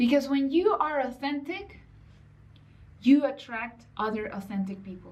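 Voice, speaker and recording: In a non-native accent, the speaker moves through very wide pitch swings and big swings in loudness, with long, frequent pauses. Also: woman, high pitch for a woman. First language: not English. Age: 30s. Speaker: online business coach. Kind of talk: motivational vlog talk. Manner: casual, conversational.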